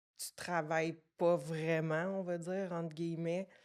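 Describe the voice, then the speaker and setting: A woman with a Quebec accent, very slow and monotone with flat intonation, on a very clean recording with a silent background. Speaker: fitness coaching business owner. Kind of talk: podcast interview, personal story.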